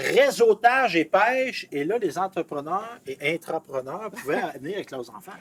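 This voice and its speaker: A man talks at a moderate pace, high-pitched, with very wide pitch swings and big swings in loudness. The sound is dry and close with no echo, though noticeable background noise comes through. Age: 60s. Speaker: TV interviewer. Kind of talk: interview. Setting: on location outdoors at event.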